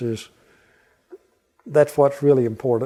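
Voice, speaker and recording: Speaking with a Southern US accent, a man has a medium-pitched voice with a dark, mellow tone. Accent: Southern US (Oklahoma). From southeastern Oklahoma, USA. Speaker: Vietnam War veteran, beef industry manager. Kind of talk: interview answer.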